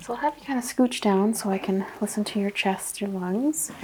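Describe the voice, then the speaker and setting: A calm-toned woman at a fairly high pitch, with lively intonation and a moderate pace, over noticeable background noise. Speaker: ASMR roleplay doctor. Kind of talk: ASMR medical exam roleplay. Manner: soft-spoken, calm, relaxing.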